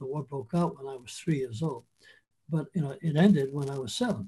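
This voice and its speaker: Captured in a very clean recording with a silent background, a man's somewhat breathy voice has a dark, mellow tone and ordinary pitch variation. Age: 80s+. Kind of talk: interview conversation. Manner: measured, with frequent restarts and hesitations.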